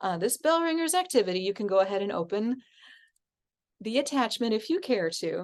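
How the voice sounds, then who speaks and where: Against a quiet background, a woman with a fairly high pitch talks at a fairly quick pace, her pitch swinging very widely between long, frequent pauses. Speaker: music teacher and course instructor. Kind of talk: online class lecture. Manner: fast; energetic.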